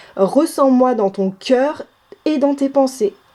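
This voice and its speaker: Her pace is very slow, and this woman's pitch varies in an ordinary way. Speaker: tarot card reader. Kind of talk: tarot reading. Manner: halting.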